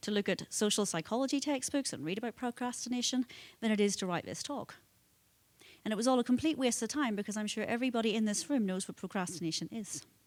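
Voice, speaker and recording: With a Northern Irish accent, a woman speaks very fast at a fairly high pitch with lively intonation. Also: very clean recording, silent background. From Northern Ireland, Belfast. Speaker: conference speaker, nonprofit foundation president. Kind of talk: conference talk. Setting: conference hall with audience.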